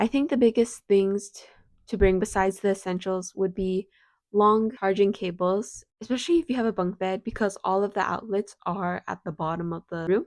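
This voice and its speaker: A woman's unremarkable speaking voice at medium pitch and a moderate pace, with ordinary pitch variation, big swings in loudness, and a dry, close sound with no echo. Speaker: university student. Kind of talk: casual advice talk to camera.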